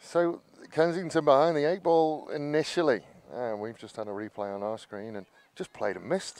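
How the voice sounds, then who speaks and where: Pitched fairly high, a man speaks at a moderate pace with very wide pitch swings and big swings in loudness. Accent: English. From England. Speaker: cricket commentator. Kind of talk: live commentary.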